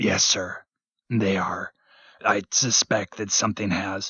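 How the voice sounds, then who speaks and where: A raspy, fairly low put-on character voice from a man, monotone and flat at a fairly slow pace. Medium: read story. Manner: deferential, hesitant.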